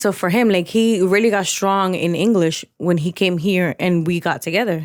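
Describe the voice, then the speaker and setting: Female voice at medium pitch and moderate pace, fairly even in intonation and very even in loudness. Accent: Spanish. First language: Spanish. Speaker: podcast co-host. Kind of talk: casual chat.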